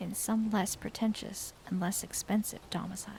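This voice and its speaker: Soft-spoken and somewhat breathy, a woman talks at a moderate pace and medium pitch in a dark, mellow tone with monotone, flat intonation. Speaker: vtuber streamer. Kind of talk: ASMR book reading.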